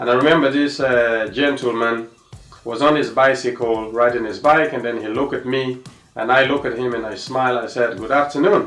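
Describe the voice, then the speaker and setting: Music plays behind a man with an African accent. He speaks at a medium pitch with fairly even intonation. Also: fairly quick pace. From Sierra Leone. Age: 30s. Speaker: tennis coach. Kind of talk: personal testimony. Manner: halting, many fillers.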